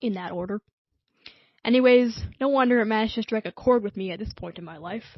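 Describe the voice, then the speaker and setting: A woman talks at a very fast pace. Her voice is medium in pitch with ordinary pitch variation. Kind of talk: personal video essay narration. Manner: casual, reflective.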